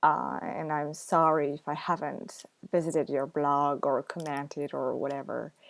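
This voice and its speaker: Fairly slow, fairly even speech with a French accent and vocal fry. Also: woman. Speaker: book blogger. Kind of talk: casual vlog chat. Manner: hesitant, many fillers.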